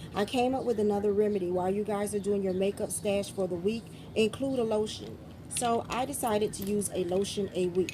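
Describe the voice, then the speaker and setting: With a dark, mellow tone and a somewhat breathy quality, a woman at medium pitch talks at a fairly quick pace using fairly even intonation. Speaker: beauty vlogger. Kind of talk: product review vlog. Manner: fast.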